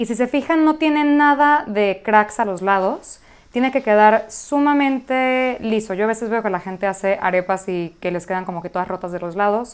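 With a Mexican accent, a woman talks at a moderate pace in a fairly high pitch, her intonation lively. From Mexico City, Venezuelan family. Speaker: cooking blogger. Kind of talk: cooking tutorial. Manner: warm, casual. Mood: warm and enthusiastic. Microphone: lapel.

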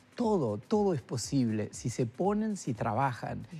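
A man speaks at a fairly slow pace with very wide pitch swings. His voice is somewhat breathy. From Uruguay (Isla Mala, Florida); Uruguay. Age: 70s. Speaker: retired neurosurgeon and artist; guest. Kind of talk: interview. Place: studio. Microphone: lapel.

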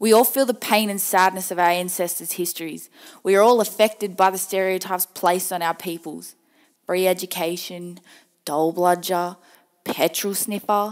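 Recorded very cleanly against a silent background, a woman speaks at a medium pitch with an Australian accent. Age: 20s. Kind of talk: personal spoken-word monologue. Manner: earnest, emotional, pointed.

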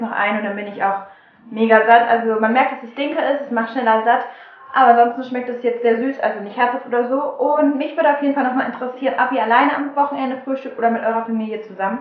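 A woman speaks at a very fast pace in a high voice with fairly even intonation. The room echo is audible. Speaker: vlogger. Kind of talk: casual vlog chat. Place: kitchen. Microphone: phone near.

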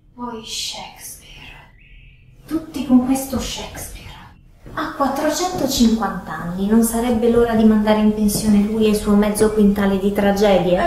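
With audible room echo and light background noise, the voice moves at a moderate pace with ordinary pitch variation. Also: woman. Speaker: presenter. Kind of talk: comic monologue to camera. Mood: ironic, playful. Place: kitchen.

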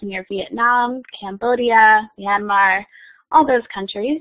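Against a quiet background, a woman speaks fairly slowly with ordinary pitch variation. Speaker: former exchange student; keynote speaker. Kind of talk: presentation. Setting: video call. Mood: friendly, lightly humorous. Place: hall.

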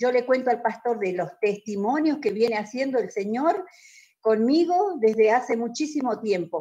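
Lively intonation runs through a dark, mellow tone at a moderate pace. The background is quiet. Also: woman, fairly high pitch for a woman. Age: 50s. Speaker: church member. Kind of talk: testimony. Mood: earnest, emotional. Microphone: video call.

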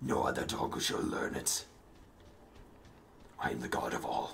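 Putting on a character voice, a man sounds strained and speaks at a fairly slow pace. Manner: grandiose, domineering, commanding.

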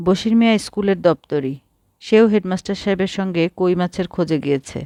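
A natural reading voice with ordinary pitch variation comes through. Behind it, the background stays quiet.

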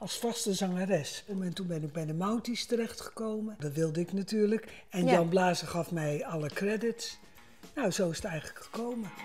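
With faint music in the background, a woman speaks at a moderate pace and ordinary pitch variation. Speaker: guest. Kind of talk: conversational interview answer. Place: kitchen. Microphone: lapel.

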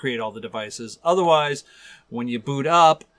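Nothing much can be heard behind him. The man's delivery is moderately paced. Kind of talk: tutorial commentary. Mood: relaxed, amused. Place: home room.

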